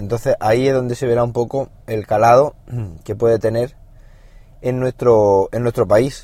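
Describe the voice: A man speaks at a medium pitch with a dark, mellow tone. His intonation is fairly even and his pace fairly slow.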